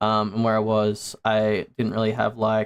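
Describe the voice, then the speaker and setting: Dry and close with no echo, a man with an Australian accent talks at a moderate pace and medium pitch. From Australia, Sydney area. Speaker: VTuber streamer. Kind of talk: casual livestream chat. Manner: casual, many fillers.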